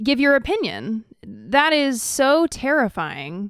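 A woman with a high voice speaks with lively intonation. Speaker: podcast co-host. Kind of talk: casual chat; reading news aloud. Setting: studio. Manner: talks like a Valley girl.

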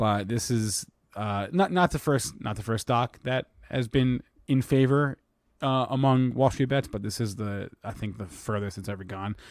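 At a fairly slow pace with ordinary pitch variation, a plain, everyday voice comes through a dry, close sound with no echo on a very clean recording with a silent background. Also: man, medium pitch for a man. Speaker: show host. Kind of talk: live market talk show.

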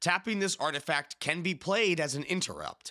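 Recorded very clean against a silent background, a man with a fairly high pitch and a bright, sharp tone speaks with vocal fry. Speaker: podcast host. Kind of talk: casual chat.

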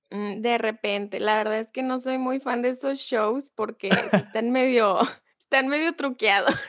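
A woman talks at a fairly slow pace, her high voice keeping fairly even intonation. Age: 20s. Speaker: communications student. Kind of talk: casual chat.

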